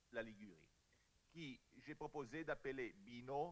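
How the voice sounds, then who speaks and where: At a very slow pace, a man speaks with an Italian accent and lively intonation. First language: Italian (speaking French). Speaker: archaeologist. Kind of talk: conference talk. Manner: halting.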